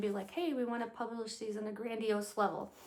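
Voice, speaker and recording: Audible room echo follows a woman as she talks at a very fast pace and a fairly high pitch. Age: 50s. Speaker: lifestyle vlogger. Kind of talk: casual chat.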